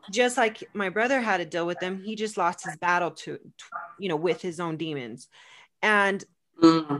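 A woman with an American accent speaks in a plain, everyday voice at a fairly low pitch and moderate pace. Her pitch variation is ordinary, while her loudness swings widely. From US West (California, Arizona). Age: 40s. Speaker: podcast host. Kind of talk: casual chat.

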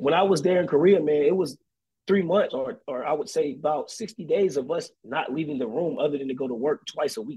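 With an American accent and an unremarkable speaking voice, the speaker moves at a fairly quick pace with lively intonation. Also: man, fairly high pitch for a man. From North Carolina, Fayetteville. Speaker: army recruiter, soldier. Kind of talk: casual interview chat. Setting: remote call by phone.

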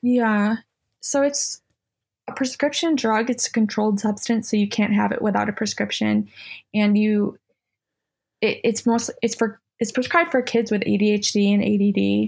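In a very clean recording with a silent background, a woman speaks at a moderate pace and a fairly high pitch, her voice somewhat breathy, with very even loudness and fairly even intonation. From upstate New York (Utica). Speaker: guest in addiction recovery, artist. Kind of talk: casual interview, personal testimony.

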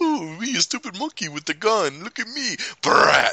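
In a put-on character voice, the speaker moves at a moderate pace with very wide pitch swings. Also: man, high pitch for a man. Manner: mocking, goofy.

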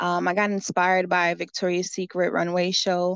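Against a quiet background, a woman with an American accent speaks in a fairly low pitch with monotone, flat intonation. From Allentown, Pennsylvania. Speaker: fashion designer. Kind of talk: casual interview.

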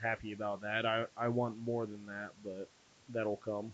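This man speaks with an American accent in a monotone, flat intonation. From Dayton, Ohio. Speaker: strongman competitor.

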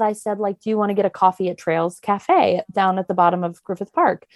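A woman's unremarkable speaking voice at medium pitch, dry and close with no echo, on a very clean recording with a silent background. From US Maryland. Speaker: actress. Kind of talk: casual chat.

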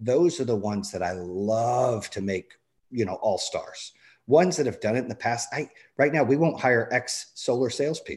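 Against a quiet background, a man speaks with lively intonation and a somewhat breathy voice. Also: medium pitch for a man, moderate pace. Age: 40s. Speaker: entrepreneur, business owner. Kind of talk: casual interview. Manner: animated.

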